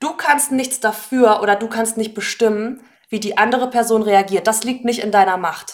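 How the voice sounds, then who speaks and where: A woman with a normal speaking voice talks at a moderate pace, her pitch fairly high. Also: ordinary pitch variation. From northern Germany, Hannover. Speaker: German language teacher. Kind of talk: casual interview.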